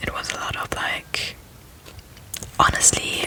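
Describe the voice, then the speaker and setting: The voice is whispering. Noticeable background noise sits behind it. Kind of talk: ASMR personal ramble. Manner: whispered.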